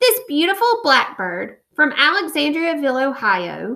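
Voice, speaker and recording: Using a put-on character voice, a woman speaks high in pitch with very wide pitch swings. Her pace is moderate. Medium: read story. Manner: courtly, lecturing.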